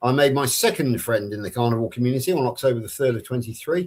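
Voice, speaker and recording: Talking at a fairly quick clip, a man speaks in a West Country accent. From Somerset, England. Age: 60s. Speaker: carnivore community ambassador. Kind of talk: personal introduction on live stream.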